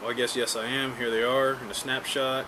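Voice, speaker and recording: Over noticeable background noise and audible room echo, a man with a Texas accent speaks at a moderate pace and medium pitch in a monotone, flat intonation. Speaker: YouTuber teaching survival skills. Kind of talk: casual tutorial, commenting on a read-out text. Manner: casual, with many fillers.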